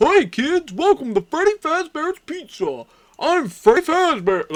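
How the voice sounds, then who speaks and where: Delivered at a fairly slow pace, a put-on character voice pitched high carries the clip. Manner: big dumb cartoon voice, showman welcome.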